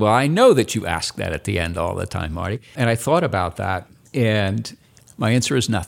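Very clean recording, silent background, and a man with an American accent speaking in a fairly low pitch. He has an unremarkable speaking voice with lively intonation. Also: moderate pace. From Indianapolis, Indiana. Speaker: retired drug industry scientist and academic. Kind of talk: interview.

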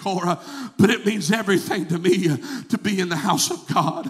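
Against noticeable background noise, a man talks at a moderate pace in an animated tone with lively intonation. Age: 40s. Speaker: evangelist. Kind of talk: sermon. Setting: church.

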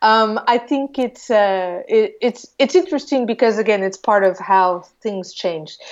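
A woman speaks at a fairly slow pace. She hardly pauses at all. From US Midwest, Iowa. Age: 50s. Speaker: political organizer for Americans abroad. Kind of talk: casual interview.

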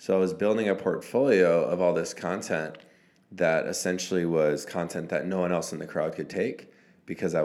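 A man with a very deep, low voice talks at a moderate pace with fairly even intonation, and room echo is audible. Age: 20s. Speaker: photographer and videographer. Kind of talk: casual interview chat.

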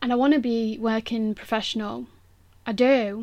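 This woman speaks at a moderate pace in an East Midlands accent, her pitch fairly high. Her intonation is monotone and flat, and the recording is very clean with a silent background. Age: 20s. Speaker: sports massage therapist and podcast host. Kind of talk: solo podcast monologue. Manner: casual, frequent laughter.

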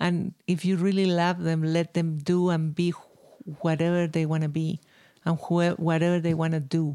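A woman with a Spanish accent speaks in a dark, mellow tone at a fairly low pitch, her intonation monotone and flat and her loudness very even. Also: moderate pace. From Chile, Santiago. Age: 60s. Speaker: violinist. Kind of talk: interview.

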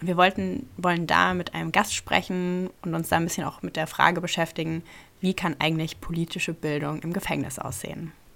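Talking at a fairly quick pace, a woman with a fairly low pitch shows vocal fry and ordinary pitch variation. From Rhineland-Palatinate, Ludwigshafen. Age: 20s. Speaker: podcast host, politics student. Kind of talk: casual chat.

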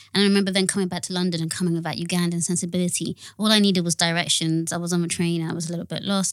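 On a very clean recording with a silent background, a woman speaks very fast with hardly any pauses. Her fairly low voice stays flat and monotone. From UK-born, partly raised in Uganda. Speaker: community founder, project manager. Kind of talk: casual interview.

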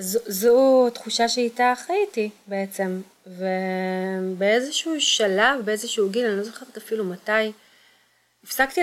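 The woman speaking has a fairly high pitch. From Israel, Kfar Saba area. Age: 40s. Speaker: social entrepreneur. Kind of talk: personal testimony.

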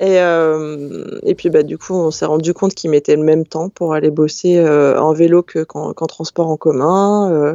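A woman's very deep, low voice, fairly slow and monotone, with flat intonation and hardly any pauses. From France, Hautes-Alpes. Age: 30s. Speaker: employment information worker. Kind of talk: casual chat.

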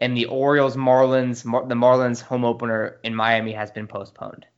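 An unremarkable speaking voice from a man with an American accent, at a medium pitch and moderate pace with fairly even intonation. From US West Coast, San Diego. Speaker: sports podcast co-host. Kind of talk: casual chat.

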